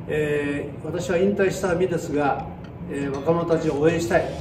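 A man at a moderate pace, fairly high in pitch, with fairly even intonation and clear music in the background. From Japan. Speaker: karate school founder and chief instructor. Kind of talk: casual talk to camera. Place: gym. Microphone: camera far.

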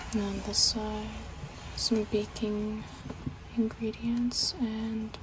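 The pace is very slow. Noticeable background noise is heard throughout. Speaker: toy reviewer. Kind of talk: unboxing narration. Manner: soft ASMR whisper. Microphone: phone near.

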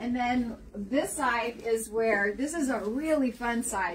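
A woman's high voice at a fairly slow pace, with light background noise. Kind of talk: walking tour interview chat. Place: shop.

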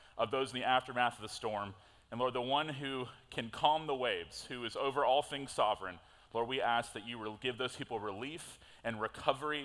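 The speaker is a man with ordinary pitch variation. He moves at a fairly quick pace. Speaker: pastor. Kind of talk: sermon. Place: church. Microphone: headset.

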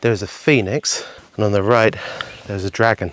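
A man talks at a moderate pace. His pitch is fairly low. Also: dry sound with no echo. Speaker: travel vlogger. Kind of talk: casual vlog commentary. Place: open country. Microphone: phone near.

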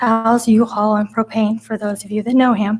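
Speaking with an American accent, a woman has a fairly high pitch, a somewhat breathy sound, monotone, flat intonation and a moderate pace. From California, Central Valley. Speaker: city council applicant. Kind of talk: public statement at council meeting. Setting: council chambers. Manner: halting, stumbling over words.

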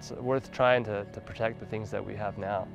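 A man with a fairly low pitch and an American accent, music playing in the background. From Los Angeles, California. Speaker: ecologist, climate scientist; rock climber. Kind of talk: documentary interview answer. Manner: soft-spoken.

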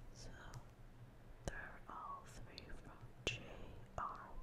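Loud background noise runs under a woman speaking at a very slow pace. She leaves long, frequent pauses. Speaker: ASMR creator. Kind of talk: ASMR hand cream haul, casual talk to camera. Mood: calm, soothing.

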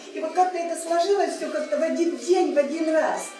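A woman at a moderate pace, with audible room echo and light background noise. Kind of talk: personal story told to a group. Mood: earnest, emotional. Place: cafe. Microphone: camera far.

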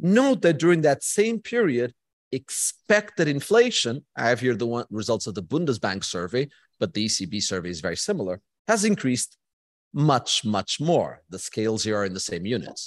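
The dry sound with no echo carries a man speaking at a moderate pace over a quiet background. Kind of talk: lecture. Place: hall.

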